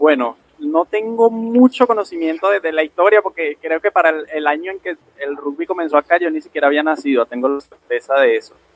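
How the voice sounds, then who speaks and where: Speaking in a normal speaking voice, a man at a fairly high pitch talks at a fairly quick pace with lively intonation and hardly any pauses, the sound dry and close with no echo. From Venezuela, Aragua state. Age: 20s. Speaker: rugby referee. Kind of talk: interview.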